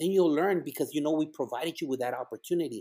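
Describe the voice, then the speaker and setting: A man with a Spanish accent speaks at a very fast pace. His tone is animated. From El Paso, Texas / Ciudad Juarez, Mexico. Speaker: school principal. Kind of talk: casual interview chat. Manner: animated, inspirational.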